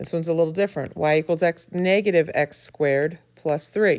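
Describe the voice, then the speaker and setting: This is a normal speaking voice from a woman, pitched fairly low with ordinary variation. She talks at a moderate pace. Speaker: math teacher. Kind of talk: tutorial.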